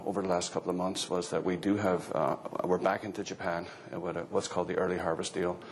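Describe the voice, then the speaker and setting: A man's very deep, low voice with an Irish accent, fairly even intonation and a fairly quick pace, amid noticeable background noise and audible room echo. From Ireland. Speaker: agricultural economist. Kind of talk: conference talk.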